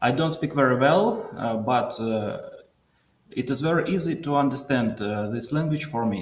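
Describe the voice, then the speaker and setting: A man with a Russian accent speaks at a moderate pace. His voice is fairly high, with lively intonation. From southern Russia. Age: 30s. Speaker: caller. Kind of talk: call-in interview. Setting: call from workplace. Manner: halting.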